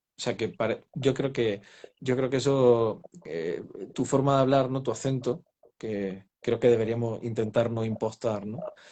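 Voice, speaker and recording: The voice has a dark, mellow tone and moves at a fairly slow pace. Its pitch varies in an ordinary way. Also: man, medium pitch for a man. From Spain, Granada (Andalusia). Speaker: novelist. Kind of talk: interview. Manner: halting, many repetitions.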